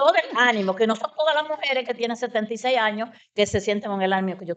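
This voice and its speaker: A woman talks very fast at a fairly high pitch, with ordinary pitch variation. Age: 70s. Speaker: mother of triplets sharing her story. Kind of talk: personal testimony in interview.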